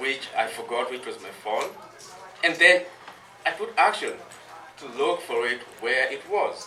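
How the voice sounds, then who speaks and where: Speech at a fairly slow pace with long, frequent pauses and big swings in loudness, set against noticeable background noise and audible room echo. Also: man. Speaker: cultural educator. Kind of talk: talk to audience. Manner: soft-spoken.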